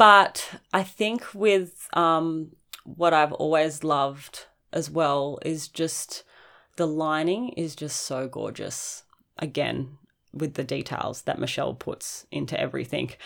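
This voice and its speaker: A woman with an Australian accent, her pitch very deep and low, at a very slow pace with ordinary pitch variation, in a very clean recording against a silent background. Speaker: podcast host and roller skate shop owner. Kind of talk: casual chat.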